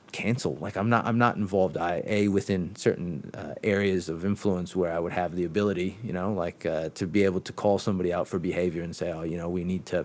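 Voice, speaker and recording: With a very deep, low pitch and fairly even intonation, a man speaks at a very fast pace with hardly any pauses. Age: 40s. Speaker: debate participant. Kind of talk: casual conversation. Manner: halting, many repeated words.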